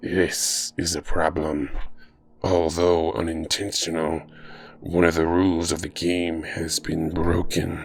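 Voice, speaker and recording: A raspy, put-on character voice speaks at a fairly slow pace with monotone, flat intonation. Faint music plays in the background. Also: man, very deep, low pitch for a man. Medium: read story. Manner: cold, formal, measured.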